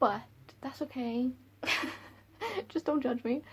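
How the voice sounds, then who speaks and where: Speaking at a fairly quick pace, a woman with a strong Welsh accent uses a fairly high pitch and some vocal fry. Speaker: book reviewer vlogger. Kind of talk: casual vlog talk. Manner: animated.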